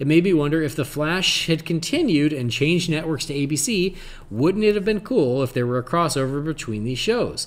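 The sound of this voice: A man speaks at a moderate pace with a fairly high pitch. His intonation is lively.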